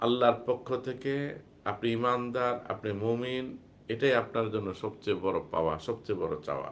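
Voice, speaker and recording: A man talks in a normal speaking voice at a medium pitch. His intonation is fairly even. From Bangladesh, Cumilla. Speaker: Islamic preacher. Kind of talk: religious talk on a livestream. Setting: live stream.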